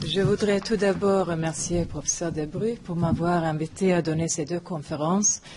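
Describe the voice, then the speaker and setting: Over noticeable background noise, a woman speaks in a fairly low pitch with a non-native accent. Her pace is moderate, her intonation fairly even, and she makes hardly any pauses. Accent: foreign accent in French. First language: not French (third language or later) (speaking French). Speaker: philosophy professor. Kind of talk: lecture. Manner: halting.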